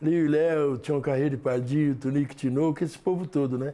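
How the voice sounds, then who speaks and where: A man speaks fairly quickly in a fairly high voice with a dark, mellow tone. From Brazil, São Paulo state (Lavínia). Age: 70s. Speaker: samba school master. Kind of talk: documentary interview.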